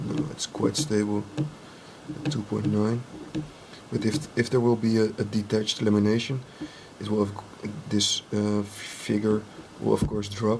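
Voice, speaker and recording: With a non-native accent, a man speaks at a fairly low pitch with fairly even intonation and long, frequent pauses. Light background noise is present. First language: not English. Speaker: drone hobbyist and ultrasonic testing technician; inspection technician demonstrating. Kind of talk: tutorial. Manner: halting, many fillers; slow and deliberate. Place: workshop.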